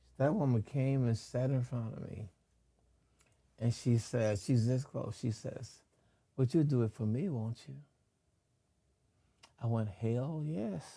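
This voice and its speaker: A man talks at a fairly slow pace, his tone dark and mellow. His voice is somewhat breathy, broken by long, frequent pauses. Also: medium pitch for a man, ordinary pitch variation. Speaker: actor. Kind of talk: interview answer.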